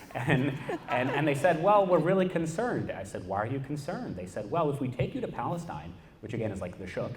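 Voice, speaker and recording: Amid noticeable background noise and audible room echo, a man with a fairly high pitch races along at a very fast pace with very wide pitch swings. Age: 20s. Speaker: activist. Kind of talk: panel talk. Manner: animated.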